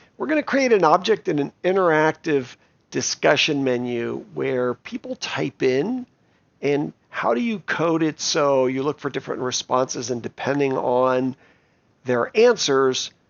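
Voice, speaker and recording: A man talks at a fairly slow pace in a normal speaking voice, fairly high-pitched for a man, with ordinary pitch variation. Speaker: coding teacher for kids. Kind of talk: tutorial.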